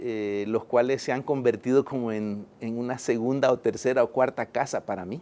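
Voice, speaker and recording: Dark and mellow, a man's medium-pitched voice keeps a fairly even intonation. He talks at a moderate pace with hardly any pauses. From El Salvador. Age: 50s. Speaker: engineer and poet. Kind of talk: interview. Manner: hesitant, with fillers.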